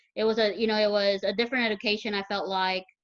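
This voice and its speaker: The speaker is a woman. Her pitch is fairly high. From Garland, Texas (Mexican-American family). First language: Spanish. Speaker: guest. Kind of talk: casual chat. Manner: halting.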